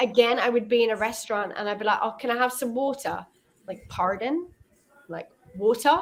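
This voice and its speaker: A woman speaks at a fairly high pitch with an English accent. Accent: very English. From Israel, schooled in England. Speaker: online English tutor. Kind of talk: casual chat. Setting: video call.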